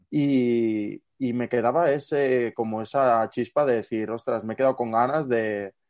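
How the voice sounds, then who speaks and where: Dry and close with no echo against a quiet background, a man with an unremarkable speaking voice talks at a medium pitch with fairly even intonation. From Barcelona, Catalonia. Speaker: student and youth football fitness coach. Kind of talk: casual interview chat.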